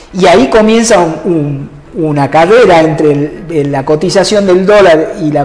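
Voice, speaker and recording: Lively intonation marks this man's speech over noticeable background noise. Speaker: economist. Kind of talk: interview. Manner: halting.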